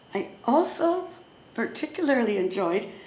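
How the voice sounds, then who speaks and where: A woman talks at a very slow pace in a high pitch with very wide pitch swings. Noticeable background noise runs underneath. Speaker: psychotherapist. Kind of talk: eulogy. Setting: memorial gathering with audience.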